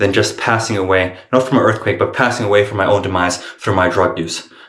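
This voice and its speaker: Room echo is audible around this man. He talks at a fairly quick pace with ordinary pitch variation. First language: not English. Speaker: vlogger in addiction recovery. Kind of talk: casual vlog monologue. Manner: halting, with self-corrections.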